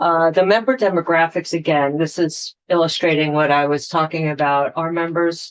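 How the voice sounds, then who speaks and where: A woman with fairly low pitch talks at a moderate pace in an ordinary speaking voice, her intonation fairly even against a quiet background. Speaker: utility representative. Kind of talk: testimony.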